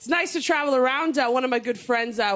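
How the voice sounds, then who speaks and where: A woman speaks in a high voice. Her tone is animated. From Canada, Toronto. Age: 30s. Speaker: comedian. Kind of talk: stand-up. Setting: stage with audience.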